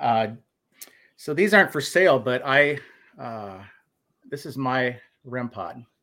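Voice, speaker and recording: A man with an American accent speaks at a very slow pace with long, frequent pauses, using a medium pitch, lively intonation and a bright, sharp tone. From Minnesota. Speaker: paranormal podcast host. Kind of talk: casual chat. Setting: video call with guests.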